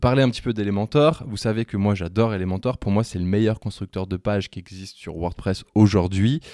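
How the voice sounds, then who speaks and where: Speaking at a fairly quick pace with hardly any pauses, a man uses a fairly low pitch, ordinary pitch variation and a dark, mellow tone, recorded as a dry sound with no echo against a quiet background. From French. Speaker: web tutorial creator. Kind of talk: casual, explanatory. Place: home room. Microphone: studio mic.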